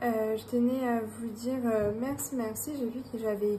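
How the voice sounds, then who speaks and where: Over noticeable background noise and audible room echo, a woman with a high pitch talks at a fairly slow pace with fairly even intonation. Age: 30s. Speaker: budgeting YouTuber, self-employed health worker. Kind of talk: casual vlog. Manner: hesitant, many fillers.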